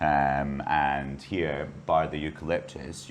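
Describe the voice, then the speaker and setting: With a Scottish accent, a man talks in a very deep, low pitch and flat, monotone intonation. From Scotland. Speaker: bar and restaurant owner. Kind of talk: interview.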